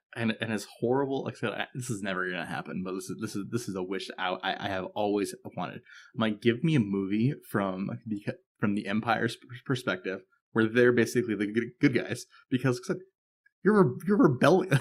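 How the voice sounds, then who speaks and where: With a normal speaking voice, a man talks at a medium pitch and a fairly quick pace, his intonation lively, in a very clean recording with a silent background. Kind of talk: podcast conversation.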